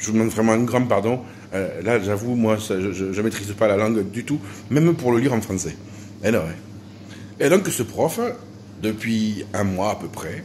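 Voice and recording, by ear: At a moderate pace, a man speaks in a fairly low voice with a slightly mellow tone.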